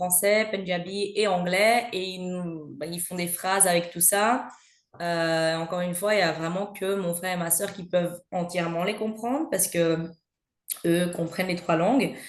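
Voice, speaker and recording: A woman with a Belgian accent speaks at a moderate pace and a medium pitch, her intonation fairly even, with audible room echo. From Belgium. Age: 30s. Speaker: mother sharing her experience. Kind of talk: podcast interview. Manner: hesitant, many fillers.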